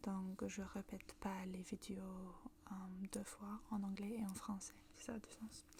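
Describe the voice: A woman talks at medium pitch and a moderate pace, with a northern British accent. Her tone is dark and mellow, with little pitch movement.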